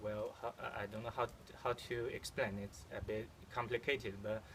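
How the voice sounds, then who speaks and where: A man speaks with a Chinese accent. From China. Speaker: amateur archer. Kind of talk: casual video vlog. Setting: outdoors at archery field. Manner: halting, many fillers.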